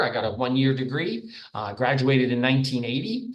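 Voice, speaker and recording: Speaking at a moderate pace in an American accent, a man is heard with audible room echo and noticeable background noise. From New York, Long Island. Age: 60s. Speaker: professor. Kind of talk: lecture.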